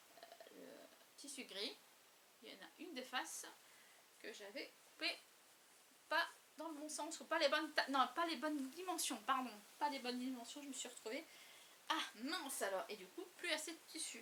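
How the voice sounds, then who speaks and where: This woman's high-pitched, bright, sharp voice is raised and projected, with ordinary pitch variation and big swings in loudness. She talks at a moderate pace with long, frequent pauses. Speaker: crafting YouTuber. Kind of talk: casual show-and-tell vlog. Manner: halting, many hesitations.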